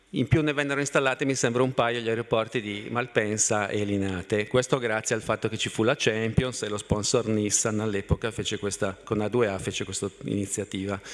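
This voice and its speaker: At a moderate pace with hardly any pauses, a man uses an unremarkable speaking voice at a medium pitch with fairly even intonation. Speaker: city mobility planning official. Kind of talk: conference talk. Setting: stage with audience. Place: hall. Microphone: podium.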